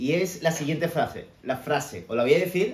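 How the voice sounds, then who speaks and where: A man speaks in an animated tone. Audible room echo surrounds his voice. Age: 30s. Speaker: personal development coach; motivational vlogger. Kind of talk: motivational talk. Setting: home kitchen. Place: kitchen. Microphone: phone near.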